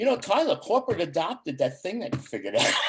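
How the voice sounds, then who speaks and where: A man speaks at a high pitch. His voice makes very wide pitch swings. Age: 60s. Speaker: chamber of commerce board member and ambassador. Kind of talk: casual interview chat.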